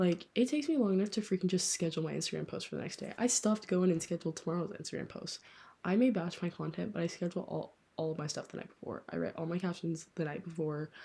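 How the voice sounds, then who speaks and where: Her pitch fairly low with ordinary variation, a woman speaks at a very fast pace with vocal fry. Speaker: book podcaster. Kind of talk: casual chat. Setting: late-night home recording. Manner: whispering close to mic. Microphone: held very close to mouth, mouth noises audible.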